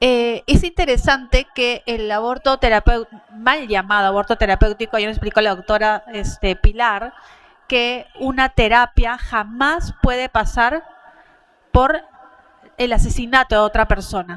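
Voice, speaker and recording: A woman with a fairly high pitch talks at a fairly slow pace and ordinary pitch variation. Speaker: pro-life activist speaker. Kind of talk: conference talk.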